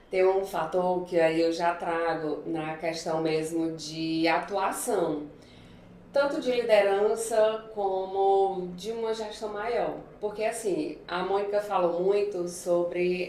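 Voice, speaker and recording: A woman of medium pitch speaks at a very slow pace. Noticeable background noise and audible room echo are present. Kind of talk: podcast interview.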